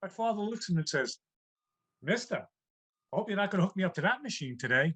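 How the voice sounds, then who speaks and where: Very fast and with lively intonation, a man speaks in an American accent. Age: 60s. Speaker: comedian. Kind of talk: stand-up. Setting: video call.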